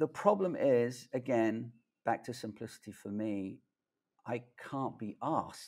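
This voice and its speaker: On a very clean recording with a silent background, the speech comes at a fairly slow pace with lively intonation. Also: man. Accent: London. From London, England. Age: 50s. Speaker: tech video creator. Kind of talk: casual interview chat. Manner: animated.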